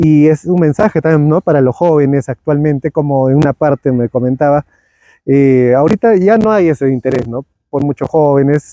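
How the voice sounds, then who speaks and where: A man with a dark, mellow tone and a fairly high pitch talks at a moderate pace with ordinary pitch variation, recorded with a dry, close sound and no echo. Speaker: podcast host. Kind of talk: interview conversation.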